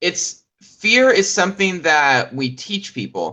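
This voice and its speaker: A man talks loudly with an American accent. His pitch swings very widely. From Texas. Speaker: comedian. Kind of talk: casual chat.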